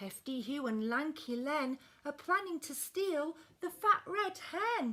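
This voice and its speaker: A woman puts on a character voice, pitched high, speaking fairly slowly with very wide swings in pitch. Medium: read story.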